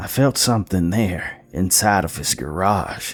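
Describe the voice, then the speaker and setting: In a put-on character voice, a man speaks raspy and very deep at a moderate pace. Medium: read story.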